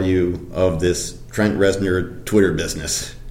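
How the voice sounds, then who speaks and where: The speech is very slow, with lively intonation. Noticeable background noise runs under the voice. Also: man. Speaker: music journalist. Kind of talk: interview.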